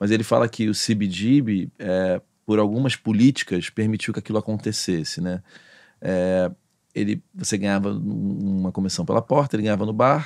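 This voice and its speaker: Over a quiet background, a man with a fairly low voice talks at a moderate pace with ordinary pitch variation. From Rio de Janeiro. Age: 40s. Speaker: podcast host. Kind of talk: casual interview. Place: studio. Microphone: studio mic.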